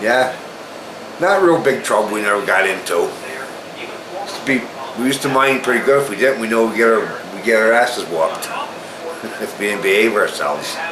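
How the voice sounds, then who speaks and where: Amid noticeable background noise and audible room echo, a man with an American accent speaks at a fairly quick pace and medium pitch, with lively intonation and long, frequent pauses. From US Northeast, Falls Village, Connecticut. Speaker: local resident. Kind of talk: casual interview. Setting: at his home.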